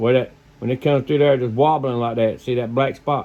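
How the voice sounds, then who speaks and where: A man talks in an American accent at a moderate pace. His pitch is medium and his intonation monotone and flat. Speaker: fishing video maker, lure crafter. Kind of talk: casual how-to video. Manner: rambling, conversational.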